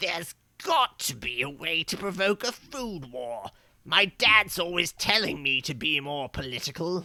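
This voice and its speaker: The put-on character voice sits at a middle pitch and keeps a moderate pace. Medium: solo performance.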